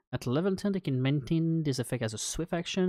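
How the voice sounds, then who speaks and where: Speaking fairly quickly with a non-native accent, a man shows ordinary pitch variation in a dry, close sound with no echo. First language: not English. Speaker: game master streaming homebrew design. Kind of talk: live stream think-aloud while writing. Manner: halting, many fillers.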